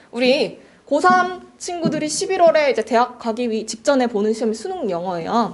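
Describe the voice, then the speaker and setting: Her high voice swings very widely in pitch as the woman talks. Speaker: cram school English teacher. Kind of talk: admissions information session for parents. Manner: fast.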